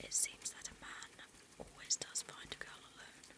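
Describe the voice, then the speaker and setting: Noticeable background noise runs under whispering delivered at a fairly slow pace. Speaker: VTuber ASMR creator. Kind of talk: whispered audiobook-style reading of a novel. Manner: soft, intimate, gentle narration.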